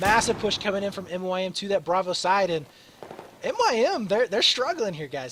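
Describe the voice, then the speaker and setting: Lively intonation marks this man's high voice as he speaks at a moderate pace over noticeable background noise. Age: 20s. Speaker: esports caster. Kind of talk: live commentary. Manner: animated; frequent filler words.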